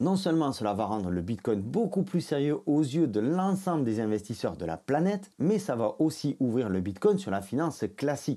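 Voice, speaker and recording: With a southern French accent, a man talks at a moderate pace with hardly any pauses, his fairly high voice dark and mellow in tone and swinging very widely in pitch, on a very clean recording with a silent background. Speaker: crypto YouTuber. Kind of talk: scripted narration.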